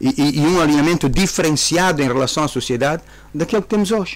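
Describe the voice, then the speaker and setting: A man with a fairly high pitch races along at a very fast pace with lively intonation. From Angola. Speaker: government minister. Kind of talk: radio interview. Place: studio. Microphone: studio mic.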